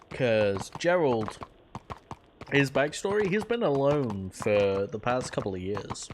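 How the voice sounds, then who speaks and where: A man's medium-pitched voice at a very slow pace, with noticeable background noise behind it. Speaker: streamer playing a roleplay game. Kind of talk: casual out-of-character chat. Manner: monotone.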